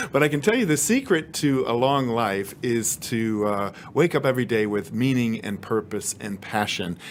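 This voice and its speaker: A man talks in a normal speaking voice at medium pitch. The recording is very clean, with a silent background. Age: 50s. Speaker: TV host and former journalist. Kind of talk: interview; scripted narration.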